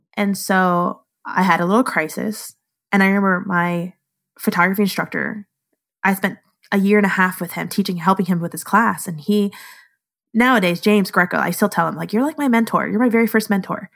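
A normal speaking voice moves at a fairly quick pace with fairly even intonation. The recording is very clean, with a silent background. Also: woman, medium pitch for a woman. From Southern California, then Naples, Florida from mid high school. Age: 30s. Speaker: photographer. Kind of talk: casual chat.

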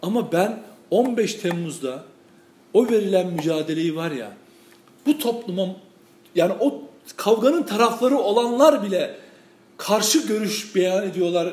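Noticeable background noise surrounds a man speaking at a high pitch with lively intonation. He moves at a fairly slow pace with long, frequent pauses. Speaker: journalist and commentator. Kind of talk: casual political discussion. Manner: loud at times.

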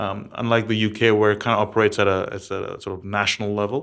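In a very clean recording with a silent background, a man with an American accent speaks at a very fast pace and medium pitch. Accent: sounds very American. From several countries, third culture upbringing. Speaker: startup founder and CEO. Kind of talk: interview.

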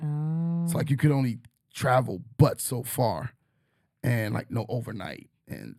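A man's dark, mellow voice at medium pitch, with vocal fry and ordinary pitch variation. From New York. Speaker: teacher and podcast host. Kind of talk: casual chat.

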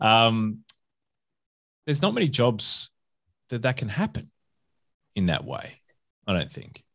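Lively in intonation, a man with an Australian accent and medium pitch speaks at a fairly slow pace with long, frequent pauses. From Adelaide, South Australia. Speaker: podcast host and hospitality consultant. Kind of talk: casual interview chat.

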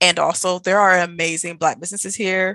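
In a bright, sharp tone, a woman speaks at a medium pitch with flat, monotone intonation, the sound dry and close with no echo. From US Midwest, Milwaukee. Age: 20s. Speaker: travel blogger. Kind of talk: casual interview.

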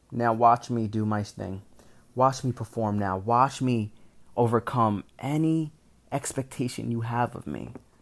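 A man talks at a medium pitch. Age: 20s. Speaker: podcast host, college student. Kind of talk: motivational monologue.

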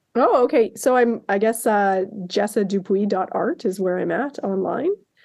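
A woman speaks at a fairly slow pace in a medium pitch. She has a slight Canadian accent. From Canada. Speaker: artist. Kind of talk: casual chat. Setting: podcast interview.

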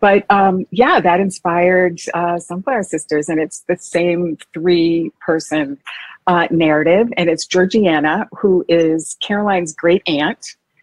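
This woman has an unremarkable speaking voice with an American accent and a fairly low pitch. She talks at a fairly slow pace with fairly even intonation. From Massachusetts. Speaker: historical fiction novelist. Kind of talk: interview.

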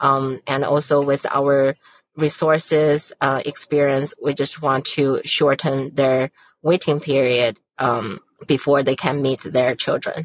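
In a Chinese accent, a woman speaks at a very slow pace with a very deep, low pitch and monotone, flat intonation, the sound dry and close with no echo. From China. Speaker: surrogacy agency founder. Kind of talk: interview.

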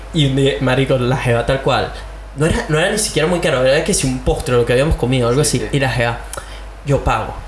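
Over noticeable background noise, a man talks at a very fast pace in an animated tone, at medium pitch with ordinary pitch variation and very even loudness. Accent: Caracas. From Venezuela (Caracas). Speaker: podcast host. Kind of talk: casual chat. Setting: home studio.

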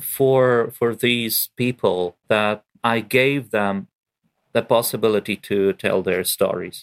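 A man with a Ukrainian accent speaks at a fairly slow pace and medium pitch, his loudness very even and the sound dry and close with no echo. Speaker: poet. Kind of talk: interview. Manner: halting.

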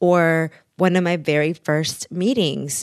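The voice carries a Spanish accent with ordinary pitch variation. The sound is dry and close with no echo, over a quiet background. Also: woman. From Mexico (Taxco, Guerrero), moved to Texas at eleven. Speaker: author and immigration rights advocate. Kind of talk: interview.

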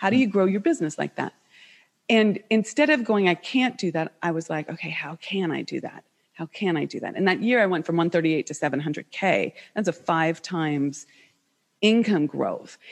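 Against a quiet background, a woman with an American accent uses a normal speaking voice at a fairly low pitch, with lively intonation and a moderate pace, the sound dry and close with no echo. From United States. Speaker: business coach. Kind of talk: interview.

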